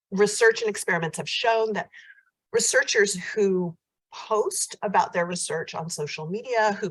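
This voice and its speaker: The voice is somewhat breathy, with an American accent. It moves at a moderate pace. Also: woman. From United States. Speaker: professor. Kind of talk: conference keynote. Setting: hybrid conference. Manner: hesitant fillers.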